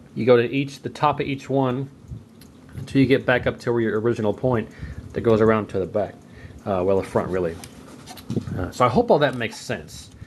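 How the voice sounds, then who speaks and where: A man's medium-pitched voice at a fairly quick pace, with ordinary pitch variation, long, frequent pauses and noticeable background noise. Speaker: arcade hobbyist. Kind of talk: tutorial. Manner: fast.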